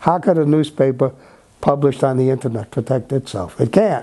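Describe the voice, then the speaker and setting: A man's dark, mellow tone at medium pitch, moving at a moderate pace. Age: 80s+. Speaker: veteran newspaper editor. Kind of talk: talk to young journalists. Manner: repetitive, halting starts; emphatic.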